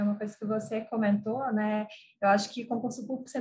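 This woman has a normal speaking voice. She talks at a fairly quick pace with fairly even intonation. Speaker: interviewer. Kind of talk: interview, conversational. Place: home room. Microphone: video call.

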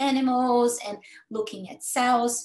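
Audible room echo surrounds this voice. A woman speaks with a Brazilian accent. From Brazil, Campinas (São Paulo state); São Paulo state, Brazil. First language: Portuguese. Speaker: cancer researcher. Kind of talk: educational talk. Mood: warm, personal storytelling. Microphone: video call.

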